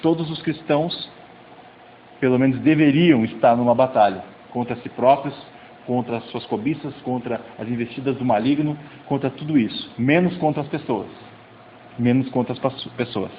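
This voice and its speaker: Medium-pitched male speech with ordinary pitch variation, long, frequent pauses and noticeable background noise. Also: moderate pace. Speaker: youth pastor. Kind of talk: sermon.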